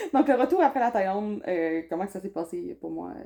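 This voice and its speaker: This woman has a Saguenay accent and a dark, mellow tone at medium pitch. She speaks at a moderate pace with very wide pitch swings. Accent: Saguenay Quebec French. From Quebec, Saguenay. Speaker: vlogger. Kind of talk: casual chat.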